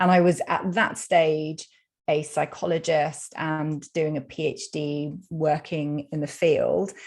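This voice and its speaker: A woman with a British accent and a very deep, low pitch speaks at a very slow pace in a monotone, flat intonation. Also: quiet background. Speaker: psychologist and food freedom coach. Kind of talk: podcast interview.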